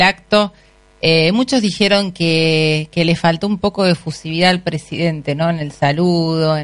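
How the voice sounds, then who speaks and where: A woman's fairly low-pitched voice at a fairly slow pace. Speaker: radio host. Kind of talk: interview. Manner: halting, many fillers.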